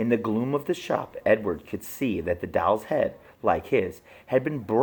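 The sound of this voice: Lively intonation from a voice reading in an unforced manner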